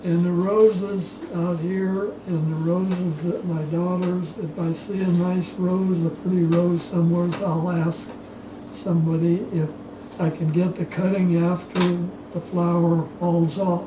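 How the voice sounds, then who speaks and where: A man with an American accent and a high pitch speaks at a fairly slow pace in a monotone, flat intonation. There is audible room echo and noticeable background noise. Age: 80s+. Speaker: oral history interviewee, retired orchardist. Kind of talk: oral history interview. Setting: at home. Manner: halting, with repetitions.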